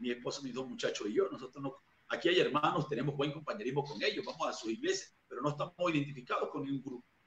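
A man talks at a very fast pace. Audible room echo and light background noise surround him. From Venezuela, Barcelona (Anzoátegui); Venezuela. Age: 40s. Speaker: evangelist preacher; interviewee. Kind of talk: interview testimony. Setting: video call. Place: home room. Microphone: video call.

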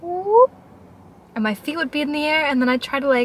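Recorded with a dry sound and no echo, a woman speaks with lively intonation. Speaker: vlogger. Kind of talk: casual vlog chat. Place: car. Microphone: phone near.

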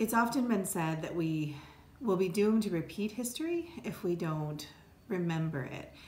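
With lively intonation and an American accent, a woman speaks amid audible room echo. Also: moderate pace. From upstate New York. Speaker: law professor and dean. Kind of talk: interview monologue. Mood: earnest, reflective. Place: office. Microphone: phone near.

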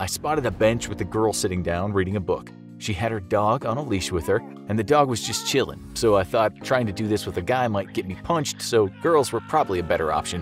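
Music runs behind a man who talks at a fairly quick pace with lively intonation. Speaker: narrator. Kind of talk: comedic first-person challenge narration. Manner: casual, sarcastic.

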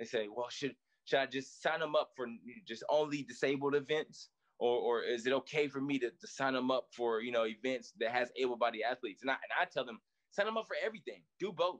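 A man speaks with an American accent at a fairly quick pace. His pitch variation is ordinary, and the background is quiet. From US South (East Tennessee). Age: 30s. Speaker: Paralympic sprinter; interview guest. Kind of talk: interview. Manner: casual, repetitive fillers. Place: home room. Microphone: video call.

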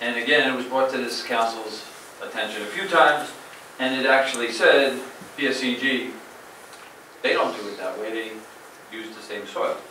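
Long, frequent pauses break up the speech. The room echo is audible, and there is light background noise. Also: moderate pace. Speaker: town manager. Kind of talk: official report. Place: hall.

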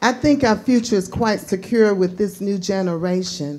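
This woman has a dark, mellow tone and ordinary pitch variation. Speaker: school chapel host. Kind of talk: speaker introduction. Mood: warm, enthusiastic. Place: hall. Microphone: camera far.

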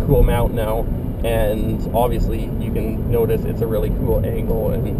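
Loud background noise runs under a dry sound with no echo. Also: man. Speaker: vlogger. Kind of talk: casual vlog chat. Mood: excited, upbeat. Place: car. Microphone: camera far.

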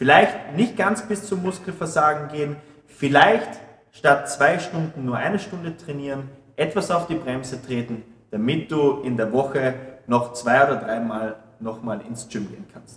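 The speaker goes at a fairly slow pace with lively intonation and big shifts in loudness, amid audible room echo and light background noise. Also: man. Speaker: fitness trainer. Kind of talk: tutorial. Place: gym.

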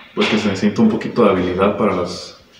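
Against noticeable background noise, a man speaks in a flat monotone at a fairly low pitch. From Manuel Doblado, Guanajuato, Mexico. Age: 20s. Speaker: pianist. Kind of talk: casual talk to camera. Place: classroom.

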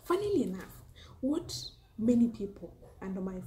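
A woman with a Kenyan accent speaks at a very slow pace over light background noise. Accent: Kenyan (Luo) English. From Kenya, Homa Bay County. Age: 20s. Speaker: food and lifestyle YouTuber, teacher. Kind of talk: casual vlog Q&A monologue. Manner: hesitant, many fillers. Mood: cheerful, smiling. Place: home room. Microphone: phone near.

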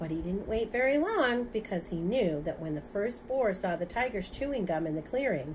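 Someone is reading aloud in a natural voice, and the intonation comes across as lively.

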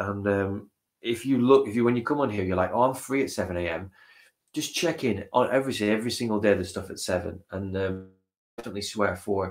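Very fast speech over a quiet background. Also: man. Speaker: stream host. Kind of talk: casual livestream chat. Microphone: webcam.

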